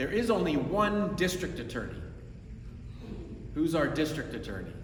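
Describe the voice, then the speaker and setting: An American accent comes with lively intonation. Noticeable background noise and audible room echo fill the recording. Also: man, high pitch for a man, moderate pace. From New York. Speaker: prosecutor. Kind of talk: community presentation.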